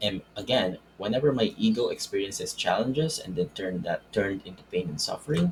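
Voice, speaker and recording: Keeping a fairly quick pace, a man speaks with a non-native accent. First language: not English. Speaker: self-help video creator. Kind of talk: spiritual self-help talk with whiteboard. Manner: halting, with false starts.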